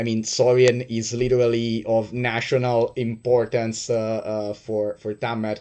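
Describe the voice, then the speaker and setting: A man's intonation stays monotone and flat as he talks at a fairly slow pace. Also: medium pitch for a man. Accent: non-native. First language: not English. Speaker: game master. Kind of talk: tabletop roleplay narration. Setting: livestream. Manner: halting, many fillers.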